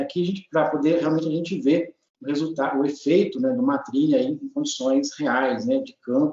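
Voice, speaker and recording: Lively intonation in a man's fairly high voice, kept at a moderate tempo. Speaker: agronomy researcher, professor. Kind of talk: technical training presentation. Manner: hesitant, many fillers.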